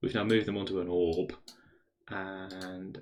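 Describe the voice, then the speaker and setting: A man speaks with a British accent. His pitch sits fairly low. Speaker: maths streamer. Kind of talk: live stream maths exploration. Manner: thinking aloud, hesitant.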